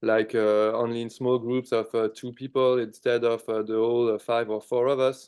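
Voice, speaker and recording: A man speaks with a French accent at a moderate pace, hardly any pauses. His medium-pitched voice has monotone, flat intonation. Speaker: rock band musician. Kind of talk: interview.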